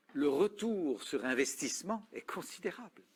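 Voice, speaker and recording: On a very clean recording with a silent background, a man speaks very slowly with very wide pitch swings. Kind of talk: talk on communication and listening.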